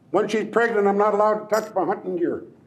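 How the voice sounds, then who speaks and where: A man speaks at a high pitch. Audible room echo can be heard. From Lummi Nation, Pacific Northwest US. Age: old. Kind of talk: traditional storytelling.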